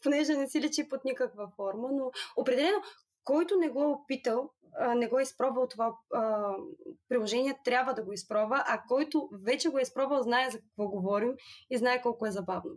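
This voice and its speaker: A woman at a high pitch and fairly quick pace. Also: ordinary pitch variation. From Bulgaria, Burgas. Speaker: app user, legal adviser. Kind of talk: casual chat.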